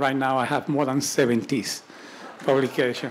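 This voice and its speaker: Fairly high-pitched man at a moderate pace with fairly even intonation, against noticeable background noise. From Caribbean. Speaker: neurosurgeon and company executive. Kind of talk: investor presentation. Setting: live event with audience.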